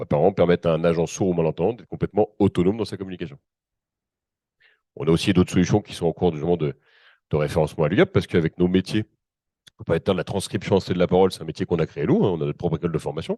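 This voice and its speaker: A man's very deep, low voice with a dark, mellow tone, fairly even intonation, big swings in loudness, a very fast pace and long, frequent pauses. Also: dry, close sound with no echo. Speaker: company representative presenting accessibility solutions. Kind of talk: panel presentation.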